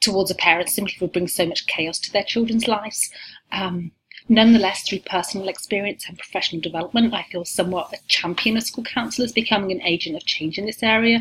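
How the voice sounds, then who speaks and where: Ordinary pitch variation marks a very fast delivery in an English accent. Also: woman, medium pitch for a woman. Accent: English accent, still noticeable. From England. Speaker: university lecturer. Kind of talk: recorded course welcome talk. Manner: frequent filler words, casual.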